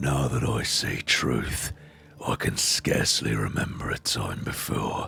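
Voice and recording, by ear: Fairly slow, raspy speech from a man in a put-on character voice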